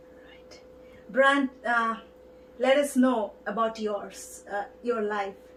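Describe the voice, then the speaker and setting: Over noticeable background noise, a woman with a fairly high pitch speaks at a very slow pace with long, frequent pauses. Her intonation is fairly even, but her loudness swings widely. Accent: Indian. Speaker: TV show host. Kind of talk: interview.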